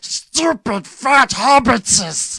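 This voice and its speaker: The voice is a put-on character voice. Its pitch is fairly high. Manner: hissing, spiteful.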